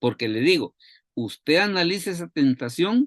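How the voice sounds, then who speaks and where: A man speaks at a moderate pace. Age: 60s. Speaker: Bible teacher. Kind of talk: bible study talk. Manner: repetitive, halting.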